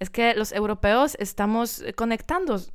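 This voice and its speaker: A woman speaks with a Polish accent. The recording is very clean, with a silent background. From Poland. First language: Polish (speaking Spanish). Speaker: singer. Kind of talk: interview. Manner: halting; smiling while speaking.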